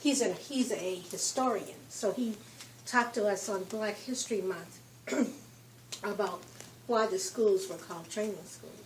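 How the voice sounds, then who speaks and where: Over noticeable background noise, a woman with an American accent speaks at a fairly slow pace with long, frequent pauses. Her medium pitch shows ordinary variation, and her loudness swings widely. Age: 60s. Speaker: visitor on a history tour. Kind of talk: casual chat.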